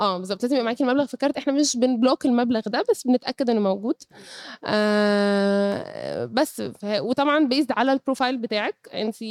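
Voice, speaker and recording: Her voice sits high in pitch. The sound is close and dry, without any echo. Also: ordinary pitch variation, moderate pace. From Egypt, Cairo. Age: 30s. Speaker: startup co-founder. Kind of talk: interview.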